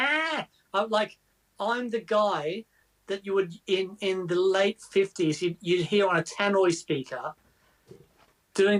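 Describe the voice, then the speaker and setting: A man talks at a fairly slow pace with ordinary pitch variation. The sound is dry and close, with no echo. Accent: Australian. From Australia. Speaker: guitar show co-host. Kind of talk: live stream casual chat.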